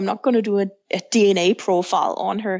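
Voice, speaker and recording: Here a woman speaks in a Danish accent. Her pitch is medium, and her intonation is fairly even. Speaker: author and counselor, single mother by choice. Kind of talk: podcast interview.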